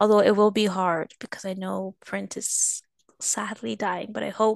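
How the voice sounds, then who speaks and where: In a dry, close recording with no echo and a quiet background, a woman with a medium pitch talks at a fairly slow pace in an unremarkable speaking voice. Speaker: photographer. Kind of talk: casual chat.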